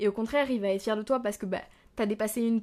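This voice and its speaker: Fairly high-pitched speech from a woman, showing ordinary pitch variation. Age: 20s. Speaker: podcaster, business student. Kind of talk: casual solo monologue. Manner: spontaneous, hesitant.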